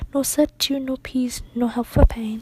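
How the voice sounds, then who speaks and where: Someone whispers soft-spoken words over noticeable background noise. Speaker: ASMR artist reading poetry. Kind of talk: poetry reading. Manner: soft-spoken, whispery.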